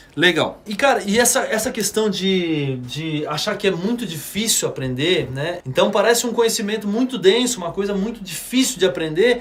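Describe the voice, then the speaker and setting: A high-pitched man speaking with hardly any pauses over noticeable background noise. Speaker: drum teacher. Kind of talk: live stream lesson. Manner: fast; casual, slangy.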